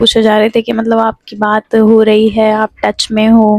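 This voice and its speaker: A soft-spoken woman with a fairly high pitch speaks in a monotone, flat intonation, the sound dry and close with no echo. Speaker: vlogger. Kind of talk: casual vlog talk to camera. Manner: soft, low-energy.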